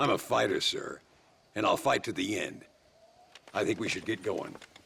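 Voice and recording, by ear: Putting on a character voice, a man speaks at a moderate pace with a fairly low pitch, ordinary pitch variation, vocal fry, a husky, rough edge and a bright, sharp tone.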